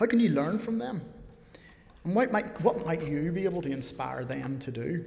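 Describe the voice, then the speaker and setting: A man with a Northern Irish accent, high-pitched, his pitch swinging very widely at a moderate pace, with audible room echo. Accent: Northern Irish (Belfast). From Northern Ireland, near Belfast. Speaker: preacher. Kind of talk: sermon. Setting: church.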